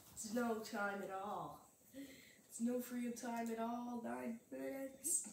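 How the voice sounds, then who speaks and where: Over light background noise and audible room echo, a woman speaks fairly slowly at a fairly high pitch with ordinary pitch variation. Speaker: gaming youtuber. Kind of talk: let's play commentary. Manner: animated. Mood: casual, wry. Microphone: phone near.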